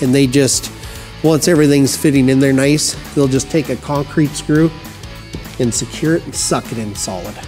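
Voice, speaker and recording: A man's voice over faint background music. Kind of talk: tutorial.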